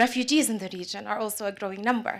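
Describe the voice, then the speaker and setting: A woman with an Arabic accent speaks at a fairly high pitch with fairly even intonation, in a very clean recording with a silent background. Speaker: business executive and panelist. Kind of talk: panel discussion.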